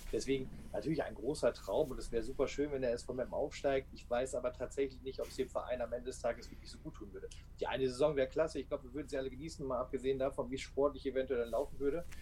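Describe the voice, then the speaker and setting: The man talks at a very fast pace. His loudness swings widely. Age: 30s. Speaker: football fan podcaster. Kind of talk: casual chat. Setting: live stream talk.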